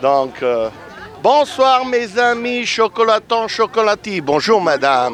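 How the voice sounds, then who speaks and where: With an Italian accent, a man speaks at a very slow pace and high pitch, his pitch swinging very widely. Music plays in the background. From Italy. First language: Italian (speaking French). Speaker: street interviewer. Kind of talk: vox pop interviews. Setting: outdoors. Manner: animated.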